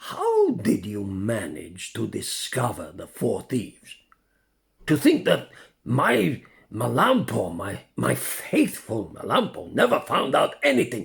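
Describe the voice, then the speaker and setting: Putting on a character voice, a man swings widely between loud and soft. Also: fairly slow pace. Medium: read story. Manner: pompous, self-congratulating.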